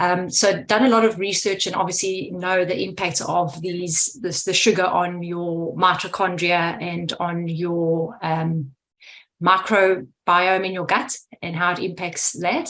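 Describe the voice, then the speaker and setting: This woman speaks fairly slowly in a South African accent, her fairly low voice keeping a fairly even intonation. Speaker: food scientist. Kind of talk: Q&A question on video call. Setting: video call.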